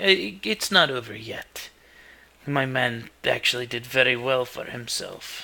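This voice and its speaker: In a raspy, put-on character voice, a man talks at a fairly slow pace with a medium pitch, lively intonation, and big swings in loudness. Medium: actual play. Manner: confident, showy.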